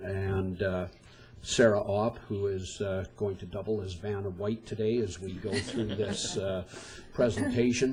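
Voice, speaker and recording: At a very slow pace, a voice speaks with audible room echo. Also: man. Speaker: event organizer presenting. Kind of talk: presentation to council. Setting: council chambers. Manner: loud.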